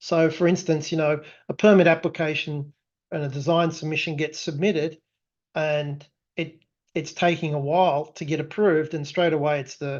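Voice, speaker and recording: A man with an Australian accent talks at a moderate pace in a fairly high pitch and flat monotone, over a quiet background. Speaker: tech company founder presenting product. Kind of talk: webinar presentation. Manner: frequent fillers and restarts.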